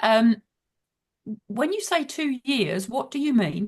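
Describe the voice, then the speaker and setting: A woman speaks at a high pitch in a Birmingham accent. Her pitch swings very widely. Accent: Brummie. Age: 60s. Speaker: author and business mentor. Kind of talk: casual chat. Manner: direct.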